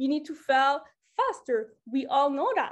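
The speaker is a woman with a French accent. She talks at a fairly slow pace. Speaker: motivational speaker. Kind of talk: motivational talk. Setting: online group call.

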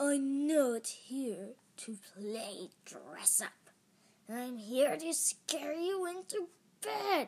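In a put-on character voice, a woman growls at a high pitch and a very slow pace. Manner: snarling.

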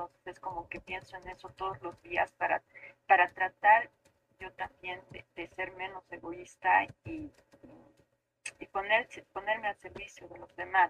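A woman talks at a fairly slow pace in a medium pitch with vocal fry and ordinary pitch variation. Her loudness swings widely, and she leaves long, frequent pauses. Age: 40s. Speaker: architect. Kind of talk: casual chat.

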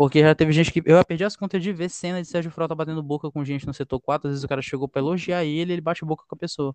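Recorded with a dry, close sound and no echo, a man talks at a very fast pace with fairly even intonation. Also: fairly high pitch for a man, hardly any pauses. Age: 20s. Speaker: football podcast co-host. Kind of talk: casual football analysis chat.

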